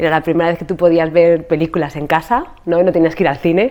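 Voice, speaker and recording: A woman speaks at a fairly low pitch. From Spain. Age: 40s. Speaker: podcast host and yoga teacher. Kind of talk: casual interview conversation about her life story. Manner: animated.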